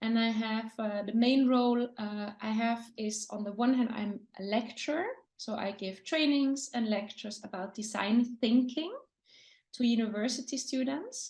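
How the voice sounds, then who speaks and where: A woman's fairly high voice with a German accent, a fairly slow pace, ordinary pitch variation and a quiet background. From Austria. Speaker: lecturer and design consultant. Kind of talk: interview.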